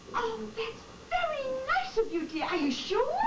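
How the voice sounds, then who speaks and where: A woman's squeaky, put-on character voice at an extremely high pitch and moderate pace, over loud background noise. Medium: stage play. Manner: twittering, fond.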